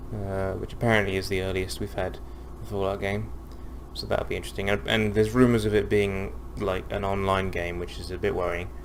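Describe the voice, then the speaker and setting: In a room with audible echo, a man with a very deep, low voice talks at a fairly quick pace. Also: lively intonation. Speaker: gaming podcaster. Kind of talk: casual commentary while gaming. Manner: fast; hesitant, many fillers.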